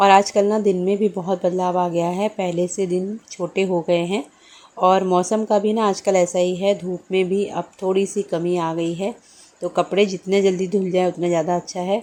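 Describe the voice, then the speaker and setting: A woman's medium-pitched voice, dark and mellow in tone, at a moderate pace with monotone, flat intonation. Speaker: vlogger and housewife. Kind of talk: vlog voice-over narration.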